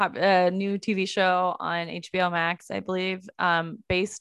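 In an American accent, a woman speaks at a fairly slow pace with a monotone, flat intonation. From San Francisco Bay Area, California. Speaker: podcast co-host. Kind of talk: casual chat.

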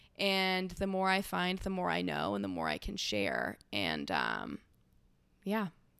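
Speaking at a fairly slow pace in an American accent, a woman keeps her loudness very even on a very clean recording with a silent background. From California, rural hay ranch. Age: 20s. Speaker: vintage shop owner, former fashion designer. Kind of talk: casual chat. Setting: sitting on a couch at her home. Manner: animated.

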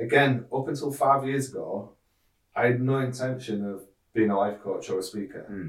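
A somewhat breathy man's voice at medium pitch, with a moderate pace and ordinary pitch variation. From northern England, Hull. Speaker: life coach and safety speaker, accident survivor. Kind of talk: casual interview, personal testimony. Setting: studio, in person.

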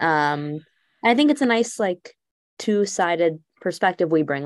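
In a very clean recording with a silent background, a woman with an American accent talks at a moderate pace. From Texas. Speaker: podcast co-host. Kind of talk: casual chat.

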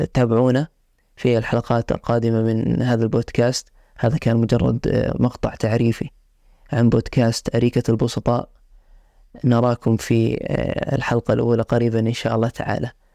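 A man's medium-pitched voice in a Jordanian accent, dark and mellow in tone, with monotone, flat intonation and a dry, close sound with no echo. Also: moderate pace, very even loudness. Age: 20s. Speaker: podcast host, medical student. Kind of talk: solo podcast introduction. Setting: sitting on a couch, simple home setup.

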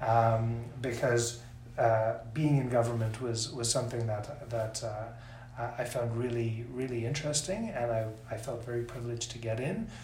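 Audible room echo and noticeable background noise surround a man speaking at a fairly quick pace. His medium-pitched voice stays monotone with flat intonation. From South Africa, then Toronto from teens. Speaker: senior government official. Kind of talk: interview. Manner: halting, many repeated words.

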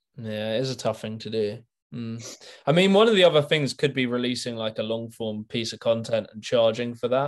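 A man with an ordinary speaking voice talks at a fairly quick pace and medium pitch, with ordinary pitch variation and big swings in loudness against a quiet background. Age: 20s. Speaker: youtuber interviewer. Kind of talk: casual interview. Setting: video call.

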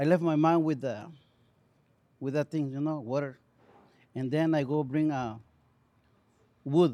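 In a Mexican accent, a man speaks fairly slowly with a dark, mellow tone, fairly high pitch, fairly even intonation and long, frequent pauses, on a very clean recording with a silent background. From Mexico. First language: Spanish. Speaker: auto body technician. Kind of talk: casual chat. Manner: halting.

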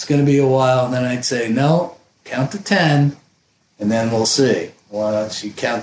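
At a moderate pace, a man with an American accent uses a normal speaking voice with medium pitch, ordinary pitch variation and big swings in loudness. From Vermont, US. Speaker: electrical engineer. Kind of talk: casual chat.

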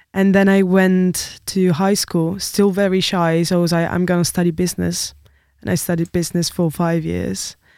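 The woman's voice is fairly low, with a dark, mellow tone. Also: moderate pace. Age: 20s. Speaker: music student, singer and bassist. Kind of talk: casual chat. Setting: studio. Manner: animated.

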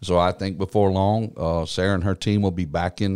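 A man speaks in a Texan accent with a very deep, low pitch. The recording is very clean, with a silent background. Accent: Texan Southern US. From East Texas. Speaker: pastor. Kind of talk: interview.

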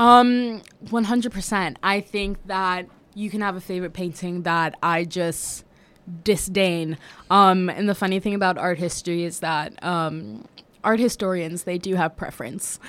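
This woman has an American accent and a medium pitch with ordinary pitch variation. She talks at a fairly slow pace in a very clean recording with a silent background. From US, Washington DC. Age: 20s. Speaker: art history student. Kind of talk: casual interview chat. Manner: hesitant, many fillers.

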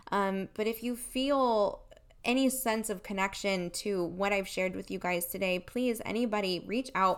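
A woman with a normal speaking voice, medium pitch, ordinary pitch variation, and a moderate pace. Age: 30s. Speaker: network marketing businesswoman. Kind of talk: interview, personal testimony.

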